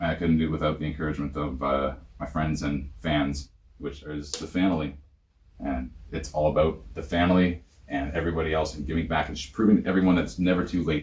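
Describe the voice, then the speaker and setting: With a Canadian accent, a man talks at a very fast pace in a very deep, low pitch with vocal fry. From Ontario. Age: 30s. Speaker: professional wrestler. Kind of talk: interview. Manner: animated.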